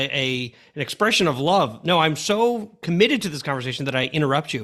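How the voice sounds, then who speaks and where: Speaking very fast in an American accent, a man uses lively intonation and a bright, sharp tone. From Long Island, New York. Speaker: podcast host, former school superintendent. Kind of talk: interview conversation.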